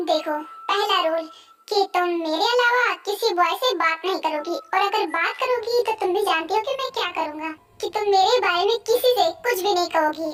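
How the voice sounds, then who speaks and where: The speaker uses a put-on character voice at a moderate pace. Music plays in the background. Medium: dub. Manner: menacing, threatening.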